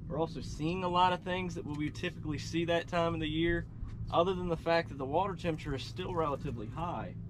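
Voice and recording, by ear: Fast-paced man, fairly high pitch, ordinary pitch variation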